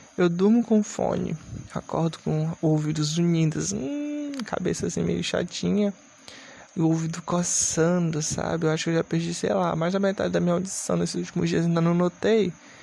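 With noticeable noise behind him, a man talks at a moderate speed. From Brazil, Maranhão. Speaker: podcast host. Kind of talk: casual solo monologue. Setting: home recording with noisy fans at night.

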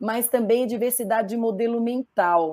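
Her fairly high voice has a dark, mellow tone, and the woman speaks at a fairly slow pace with ordinary pitch variation. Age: 50s. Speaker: diversity and business consultant. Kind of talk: panel discussion.

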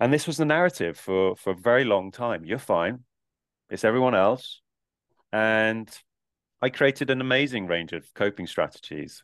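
Speaking at a moderate pace, a man with a medium pitch uses lively intonation. He leaves long, frequent pauses. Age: 40s. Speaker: coach and retreat facilitator. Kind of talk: casual chat.

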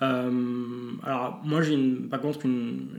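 Audible room echo surrounds a man's voice. He has a medium pitch and fairly even intonation. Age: 30s. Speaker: psychologist and mental coach. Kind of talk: interview.

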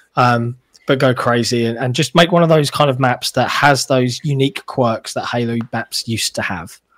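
With a British accent, a man talks at a moderate pace and medium pitch, using ordinary pitch variation. The very clean recording sounds dry and close, with no echo and a silent background. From Britain. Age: 30s. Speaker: level designer and podcast guest. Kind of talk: casual chat.

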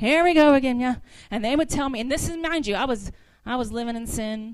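With an American accent, a woman talks in an animated tone at a high pitch with ordinary pitch variation. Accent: slight Southern US, comes out at times. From US South. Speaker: guest preacher. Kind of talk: sermon. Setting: church.

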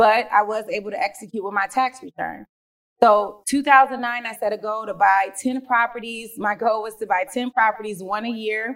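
Speaking at a moderate pace, a woman has an unremarkable speaking voice, fairly high in pitch with fairly even intonation. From Detroit, Michigan. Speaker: real estate investor. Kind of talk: interview.

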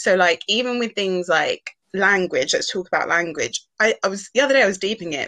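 Talking at a fairly quick pace, a woman speaks with a British accent. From UK, Ghanaian heritage. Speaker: podcast co-host. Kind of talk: casual chat.

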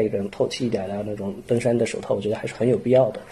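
A man delivers his words at a very fast pace while noticeable background noise runs underneath. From Xining, Qinghai, China. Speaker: soil science doctoral student. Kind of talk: casual interview.

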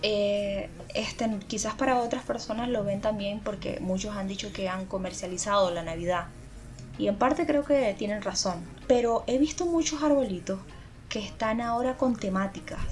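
A woman with a fairly high voice speaks at a moderate pace with lively intonation over noticeable background noise. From Venezuela. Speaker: podcast co-host. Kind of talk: casual chat.

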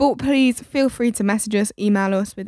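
With a British accent, a woman at medium pitch talks at a fairly quick pace with fairly even intonation, on a very clean, silent-background recording with a dry, close sound and no echo. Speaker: podcast host.

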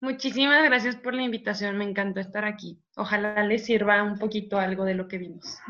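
Speaking at a fairly quick pace with hardly any pauses, a woman uses a normal speaking voice at medium pitch with ordinary pitch variation. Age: 20s. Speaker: psychology student. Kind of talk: casual chat.

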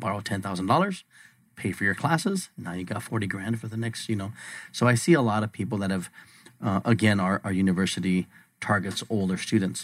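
A man with an ordinary speaking voice, fairly low pitch, ordinary pitch variation and a fairly quick pace. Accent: American. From Arizona, Bisbee. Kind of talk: radio interview.

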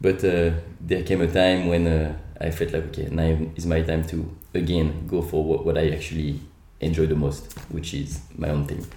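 Speaking with a French accent at a moderate pace, a man has a very deep, dark and mellow voice, somewhat breathy and monotone with flat intonation, heard with audible room echo. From France, Lyon. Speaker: entrepreneur. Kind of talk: interview.

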